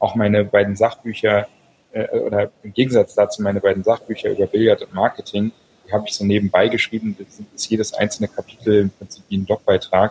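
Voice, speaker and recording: At a fairly quick pace, a man speaks with big swings in loudness, in a dry, close sound with no echo. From Berlin, Germany. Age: 40s. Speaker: novelist and online entrepreneur. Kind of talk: interview. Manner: hesitant, many filler sounds.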